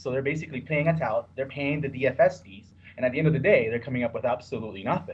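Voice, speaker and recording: A somewhat breathy man at a medium pitch, with lively intonation and a very fast pace. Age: 30s. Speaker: sports bettor. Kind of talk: podcast interview.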